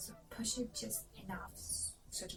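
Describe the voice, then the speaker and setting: A woman speaks with a non-native accent. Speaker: pregnant mother vlogger. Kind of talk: casual tutorial explanation to camera.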